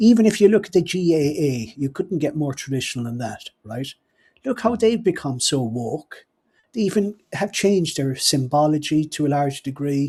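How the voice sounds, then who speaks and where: In a Cork accent, a somewhat breathy voice with a dark, mellow tone speaks at a moderate pace with very wide pitch swings, on a very clean recording with a silent background. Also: man, fairly high pitch for a man. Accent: Cork Irish. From Ireland, Cork. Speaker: podcast host. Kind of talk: casual chat. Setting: live stream.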